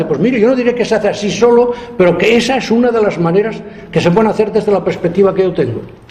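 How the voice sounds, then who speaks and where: Very fast and animated, the voice has ordinary pitch variation, with audible room echo and noticeable background noise. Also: man. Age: 70s. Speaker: architecture professor. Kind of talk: lecture.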